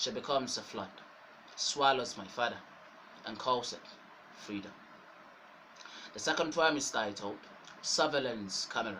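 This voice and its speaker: A man's medium-pitched voice at a moderate pace, with ordinary pitch variation and long, frequent pauses, plus noticeable background noise and audible room echo. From Nigeria. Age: young. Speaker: poet. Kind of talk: poetry reading.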